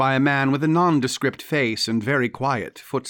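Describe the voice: Plain reading, aloud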